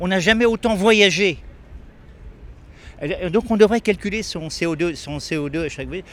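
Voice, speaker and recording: A man talks at a moderate pace in a high pitch with ordinary pitch variation. His loudness swings widely, and he takes long, frequent pauses. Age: 80s+. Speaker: retired teacher interviewed in street. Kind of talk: street interview. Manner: halting, many repetitions.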